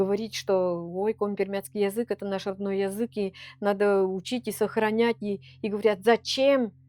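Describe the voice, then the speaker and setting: A woman talks in a medium pitch with an Perm Krai accent. The sound is dry and close with no echo, and her intonation is fairly even. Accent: Komi-Permyak accent in Russian. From Komi-Permyak area, Perm Krai, Russia. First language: Komi-Permyak (speaking Russian). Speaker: Komi-Permyak culture bearer. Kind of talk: interview. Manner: halting, with many false starts.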